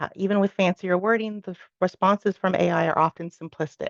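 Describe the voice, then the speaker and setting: A woman's very fast speech with vocal fry and fairly even intonation, in a dry, close sound with no echo. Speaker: university staff presenter. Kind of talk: orientation presentation.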